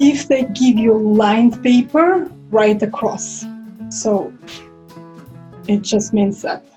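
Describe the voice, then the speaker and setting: With music in the background, a woman speaks very slowly, leaving long, frequent pauses. Her pitch is fairly high, and she has a Russian accent. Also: ordinary pitch variation. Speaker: violinist and singer. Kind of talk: casual talk to camera.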